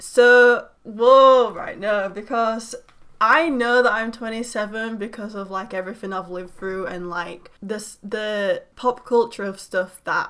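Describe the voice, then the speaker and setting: Speaking with a British accent at a fairly slow pace, a woman with a fairly high pitch barely pauses while her loudness swings widely. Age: 20s. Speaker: YouTuber. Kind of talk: casual reaction vlog. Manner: animated.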